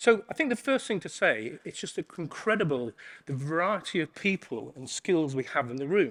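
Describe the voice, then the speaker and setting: A man with an English accent speaks at a moderate pace and a fairly high pitch, his pitch swinging very widely in a very clean recording with a silent background. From England. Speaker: conference keynote speaker. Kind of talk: keynote talk.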